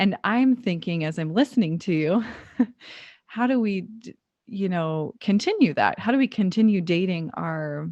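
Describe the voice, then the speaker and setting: An ordinary speaking voice at a moderate pace, lively in intonation, against a quiet background. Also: woman, medium pitch for a woman. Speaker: podcast host. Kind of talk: interview question, casual conversation.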